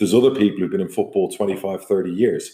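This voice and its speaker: The voice has a dark, mellow tone. It comes with an Irish accent. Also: man. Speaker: football club chairman and podcast host. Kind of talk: solo podcast monologue.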